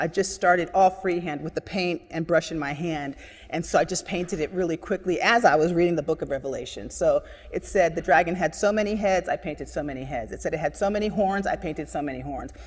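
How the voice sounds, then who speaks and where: Vocal fry at a very fast pace, with ordinary pitch variation. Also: woman. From Cuba, came to US at age three. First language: Spanish. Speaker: painter and former actor. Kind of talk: interview. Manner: animated.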